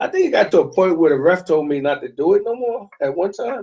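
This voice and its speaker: With a New York accent, a man talks at a fairly quick pace in a dark, mellow tone with ordinary pitch variation. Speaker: soccer parent and youth football coach. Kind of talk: casual chat.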